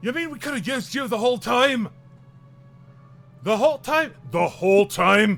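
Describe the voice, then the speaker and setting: A man puts on a character voice at an extremely high pitch. Faint music plays in the background. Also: moderate pace. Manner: incredulous, repeating.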